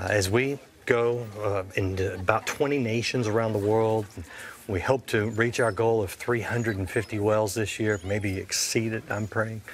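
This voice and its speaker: With light background noise behind him, a man speaks fairly slowly at a fairly low pitch with fairly even intonation. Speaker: TV host. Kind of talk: interview. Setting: studio. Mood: earnest, pleading. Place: studio.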